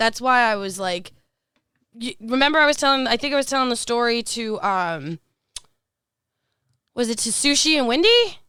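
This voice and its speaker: Her high voice is animated, bright and sharp, with lively intonation at a moderate pace. The woman leaves long, frequent pauses. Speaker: podcast host. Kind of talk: casual chat.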